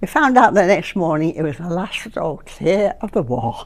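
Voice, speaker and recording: The woman's voice has vocal fry. She keeps to a moderate pace. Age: 80s+. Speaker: WWII Blitz survivor. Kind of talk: interview answer.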